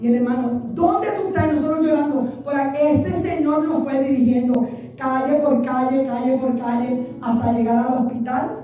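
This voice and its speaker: Animated and fairly quick, a woman speaks in a high voice. Room echo is audible, along with noticeable background noise. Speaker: pastor. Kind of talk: sermon.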